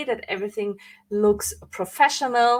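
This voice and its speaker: With a non-native accent, the speaker keeps a moderate pace. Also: woman. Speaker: branding coach. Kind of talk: live online training. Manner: hesitant, with fillers and self-corrections.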